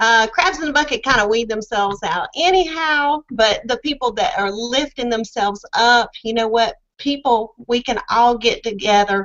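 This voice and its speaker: A woman with a Southern US accent talks with hardly any pauses. Her pitch is fairly high and her intonation lively. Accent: southern drawl. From US South, Charlotte, North Carolina. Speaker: online business member. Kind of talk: testimony. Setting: video call.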